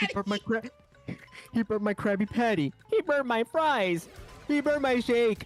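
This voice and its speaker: A put-on character voice at a fairly high pitch, moderate pace, and long, frequent pauses. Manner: whiny, complaining.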